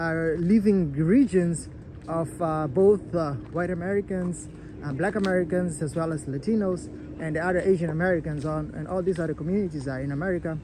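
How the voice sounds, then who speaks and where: The speaker has a non-native accent. The pace is fairly quick. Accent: noticeable foreign. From outside the US. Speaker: YouTuber. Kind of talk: personal vlog commentary. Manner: halting, many fillers and repetitions.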